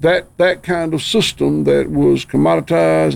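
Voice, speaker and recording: A man talks at a fairly slow pace with a Southern US accent. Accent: Southern US (Georgia). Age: 60s. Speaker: farmer. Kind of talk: casual chat.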